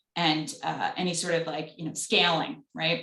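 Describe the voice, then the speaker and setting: Speaking with a Long Island accent, a woman talks. Her pace is fairly quick. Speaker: business advisor at a lender. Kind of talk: panel Q&A on video call. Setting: video call.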